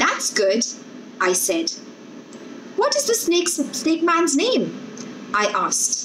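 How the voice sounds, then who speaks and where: There is light background noise. A woman speaks at a fairly slow pace. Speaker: storyteller. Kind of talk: reading a story aloud. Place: home room. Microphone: earbuds.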